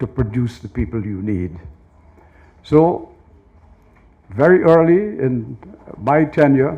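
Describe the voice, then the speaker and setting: A man speaks at a medium pitch with lively intonation. His voice is somewhat breathy. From Guyana. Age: 70s. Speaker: university chancellor. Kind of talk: speech. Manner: formal.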